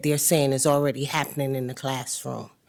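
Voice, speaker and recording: A woman with a very deep, low pitch and a Southern US accent, in a very clean recording with a silent background. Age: 60s. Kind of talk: board meeting questioning.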